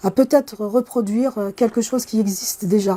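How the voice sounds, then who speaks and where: In an Algerian accent, a woman speaks at a moderate pace with a dark, mellow tone and ordinary pitch variation. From Kabylie, Algeria. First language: Kabyle (speaking French). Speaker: computer science professor. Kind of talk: interview. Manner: hesitant with fillers.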